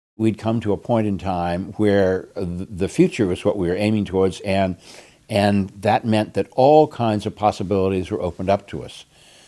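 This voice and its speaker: With an American accent, the speaker has a dark, mellow tone, ordinary pitch variation and a moderate pace. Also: man, fairly low pitch for a man. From Greater Boston, Massachusetts. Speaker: retired headmaster and minister. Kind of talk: interview reminiscence.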